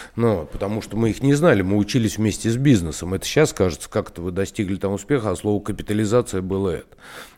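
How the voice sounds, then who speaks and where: Talking at a very fast pace with hardly any pauses, a man has a dark, mellow tone and a fairly low pitch. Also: ordinary pitch variation. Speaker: businessman, former vodka company co-owner. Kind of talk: interview. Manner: halting.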